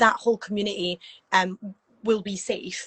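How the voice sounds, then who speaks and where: A woman with a Scottish accent speaks in a somewhat breathy voice. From Scotland. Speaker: performer and event promoter. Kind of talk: casual chat.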